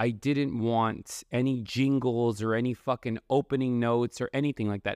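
A man's unremarkable speaking voice, medium in pitch with fairly even intonation, dry and close with no echo over a quiet background. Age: 30s. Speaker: podcast host. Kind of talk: casual monologue.

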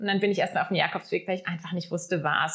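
A woman talks at a medium pitch. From southern Germany, Lake Constance. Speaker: guesthouse owner. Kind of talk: casual interview. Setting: in person at her lodge.

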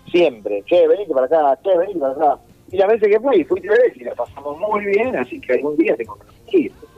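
A man's fairly quick speech is heard with music playing in the background. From Argentina, Mar del Plata. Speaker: comedian. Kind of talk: casual interview.

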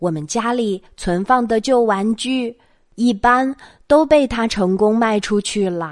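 At a very slow pace, a woman with a fairly high voice talks with ordinary pitch variation over a quiet background. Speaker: children's bedtime story host. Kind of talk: bedtime storytelling. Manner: soft-spoken.

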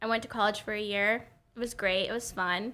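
A woman with an American accent, a fairly high pitch, ordinary pitch variation and a bright, sharp tone. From Oklahoma, rural corner near Arkansas. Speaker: hairstylist. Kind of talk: casual chat.

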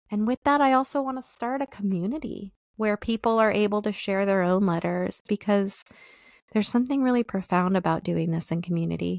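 An ordinary speaking voice, a woman's at medium pitch, moves at a fairly quick pace with ordinary pitch variation in a very clean recording, silent background, and a dry, close sound with no echo. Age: 40s. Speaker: solo podcast host. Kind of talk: personal reflective monologue.

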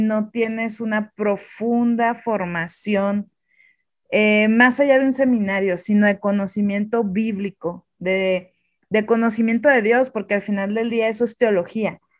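Against a quiet background, a woman with a fairly high pitch speaks at a fairly slow pace in a monotone, flat intonation. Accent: Mexican. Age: 30s. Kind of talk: interview.

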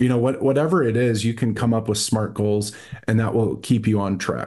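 This man has a normal speaking voice with an American accent. His pitch is fairly low and his intonation fairly even. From Texas, Dallas. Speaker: real estate investor, army veteran. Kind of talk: interview, casual chat.

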